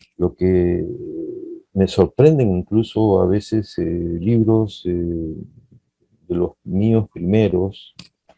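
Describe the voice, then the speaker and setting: Long, frequent pauses break up a man's very slow speech. His voice is very deep and low, with ordinary pitch variation. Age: 60s. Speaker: poet. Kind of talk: interview.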